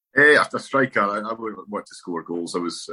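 In a northeast Scottish accent, a man speaks in a dry, close recording with no echo. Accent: north-east Scottish. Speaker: former footballer. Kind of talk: interview.

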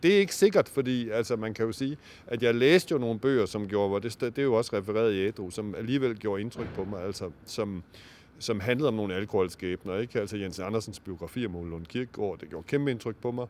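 A man talks at a very fast pace. His fairly low pitch shows ordinary variation. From Denmark, Aarhus (East Jutland). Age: 50s. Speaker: novelist. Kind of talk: interview. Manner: halting, many fillers.

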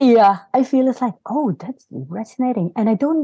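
A woman's somewhat breathy, dark, mellow voice with very wide pitch swings at a moderate pace, dry and close with no echo. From Norway, born in South Korea. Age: 40s. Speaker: podcast guest, spiritual seeker. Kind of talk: casual chat. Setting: video call.

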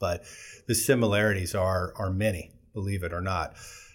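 Speaking with an American accent, a man with a fairly low pitch delivers his words slowly and flatly in a monotone, his voice somewhat breathy. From Southern California. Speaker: company CEO. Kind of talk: interview.

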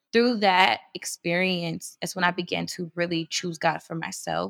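A woman speaks fairly low in pitch with an American accent, vocal fry and fairly even intonation. Her moderate pace comes through in a dry, close sound with no echo. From US Midwest. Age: 20s. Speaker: women's organization leader. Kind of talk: casual interview about faith and healing.

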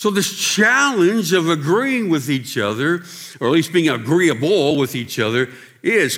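A man with an American accent, fairly high pitch, very wide pitch swings, a fairly slow pace, and audible room echo. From Pennsylvania and Ohio. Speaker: pastor. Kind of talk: sermon.

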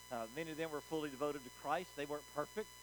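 A man speaks in an animated tone with a Southern US accent. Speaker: pastor. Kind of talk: sermon. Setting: church. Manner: animated, call-and-response.

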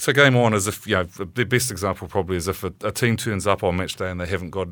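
This man has a very deep, low pitch and a New Zealand accent. He speaks at a fairly quick pace on a very clean recording with a silent background. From New Zealand, Auckland. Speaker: rugby administrator, former player. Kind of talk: interview. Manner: halting, many fillers.

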